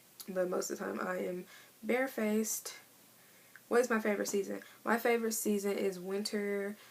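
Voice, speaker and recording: A woman with an American accent speaks at a fairly quick pace and medium pitch, monotone and flat, with long, frequent pauses and noticeable background noise. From Missouri. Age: 20s. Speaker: beauty vlogger. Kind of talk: casual vlog monologue. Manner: fast.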